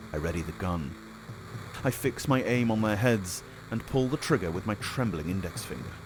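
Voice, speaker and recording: Music plays in the background as a man with a fairly low pitch talks at a moderate pace with lively intonation. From Britain. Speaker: audiobook narrator. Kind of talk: audiobook narration of a game story, first person.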